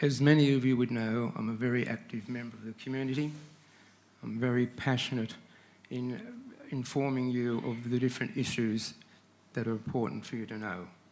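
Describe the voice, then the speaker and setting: With an Australian accent, a man talks at a fairly quick pace, broken by long, frequent pauses and big swings in loudness. Audible room echo surrounds his voice. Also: medium pitch for a man. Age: 70s. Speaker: resident speaking at council public forum. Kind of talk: public address to council. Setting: council chamber. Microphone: too far from microphone at first.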